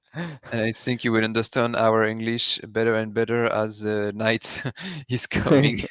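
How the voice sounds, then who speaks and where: Here a man speaks with a French accent. His pitch is medium, and his intonation is fairly even. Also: moderate pace. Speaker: live race commentator. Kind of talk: live commentary. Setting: live stream.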